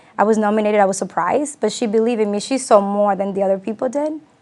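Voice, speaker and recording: Very fast speech from a woman at medium pitch. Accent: Spanish. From Latin America, Spanish-speaking, moved to US as child. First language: Spanish. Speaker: community leader, businesswoman. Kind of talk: interview on community TV.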